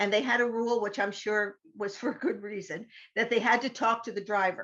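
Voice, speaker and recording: Here is a woman with an unremarkable speaking voice and a fairly high pitch. She talks at a fairly quick pace with fairly even intonation. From upstate New York, Columbia County. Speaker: interfaith minister and therapist. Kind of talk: interview, personal story. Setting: podcast interview.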